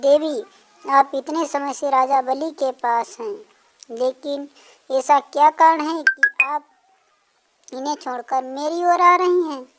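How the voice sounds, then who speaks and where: A woman does a put-on character voice at a high pitch. She speaks at a fairly slow pace. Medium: read story. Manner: deferential.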